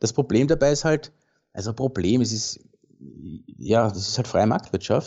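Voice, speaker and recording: Somewhat breathy and medium in pitch, a man talks at a moderate pace with ordinary pitch variation and long, frequent pauses. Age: 40s. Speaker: landscape and commercial photographer. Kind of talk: casual interview.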